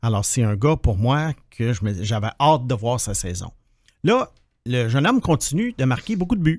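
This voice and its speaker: A man uses lively intonation at a moderate pace, and the background is quiet. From Quebec. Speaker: hockey prospects analyst, podcast co-host. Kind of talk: casual chat. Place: studio. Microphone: studio mic.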